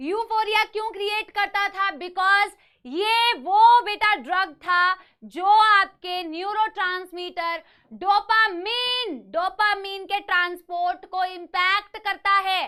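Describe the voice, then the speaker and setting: A woman speaks at an extremely high pitch. Her voice is raised and projected. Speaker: online biology teacher. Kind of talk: online lecture. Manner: energetic.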